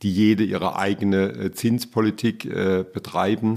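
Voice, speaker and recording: At a very slow pace, a man with a fairly low voice speaks with fairly even intonation in a very clean recording against a silent background. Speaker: banking association president. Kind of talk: interview. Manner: formal.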